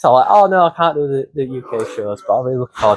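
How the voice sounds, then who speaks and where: A man with a Yorkshire accent and a fairly high pitch. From northern England, Wakefield. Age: 20s. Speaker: professional wrestler. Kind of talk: casual interview chat. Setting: backstage at a wrestling show. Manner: halting, many fillers and restarts.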